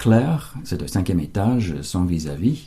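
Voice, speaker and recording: Lively in intonation yet fairly slow in pace, a man speaks with a very deep, low pitch and a dark, mellow tone that is somewhat breathy. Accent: English. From United States. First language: English (speaking French). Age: 70s. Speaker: translator, local resident. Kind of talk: interview. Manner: halting, many hesitations.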